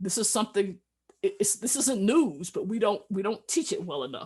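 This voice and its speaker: A woman with an American accent, somewhat breathy, at a moderate pace with very wide pitch swings, against a quiet background. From US Midwest, Cleveland, Ohio. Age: 70s. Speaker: physician. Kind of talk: lecture.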